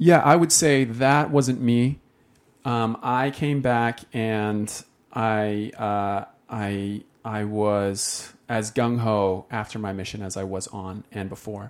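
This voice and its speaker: A man with a Utah accent, very slow, with ordinary pitch variation and big swings in loudness, on a very clean recording with a silent background. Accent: Utah American English. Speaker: faith story guest. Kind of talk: interview testimony.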